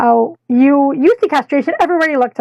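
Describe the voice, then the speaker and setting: Breathy, high-pitched woman's put-on character voice at a fairly quick pace. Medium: read story. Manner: airy, theatrical.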